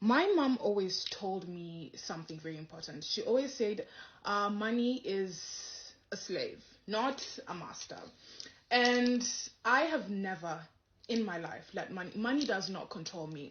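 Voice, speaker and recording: A woman speaks fairly slowly at medium pitch, somewhat breathy, with lively intonation and big swings in loudness. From Kenya, Nairobi. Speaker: comedian and content creator. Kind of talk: casual storytelling interview answer.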